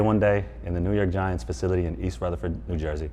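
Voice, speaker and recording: A man with an American accent talks at a very fast pace in a very deep, low voice, his intonation lively and his delivery marked by vocal fry. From US West Coast. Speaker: former NFL player and mental performance coach. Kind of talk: interview.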